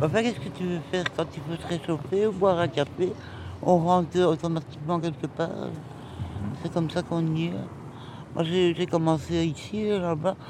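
There is noticeable background noise as a woman talks. Her fairly low pitch shows ordinary variation at a moderate pace. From Brussels, Belgium. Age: 60s. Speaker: passer-by in metro station. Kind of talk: casual chat. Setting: metro station. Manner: halting.

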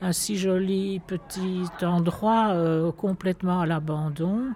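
This woman speaks at a fairly low pitch. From Brussels, Etterbeek. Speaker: local resident. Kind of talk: testimony.

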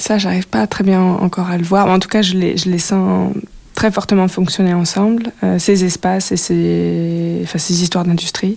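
Noticeable background noise runs beneath speech delivered at a moderate pace. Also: woman. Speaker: filmmaker and sound artist. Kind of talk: radio interview. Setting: radio studio. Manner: hesitant, many fillers.

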